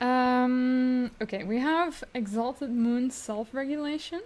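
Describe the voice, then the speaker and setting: The woman's pitch varies in an ordinary way. She talks at a very slow pace. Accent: non-native. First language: not English. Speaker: tarot reader. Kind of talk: tarot reading. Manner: halting.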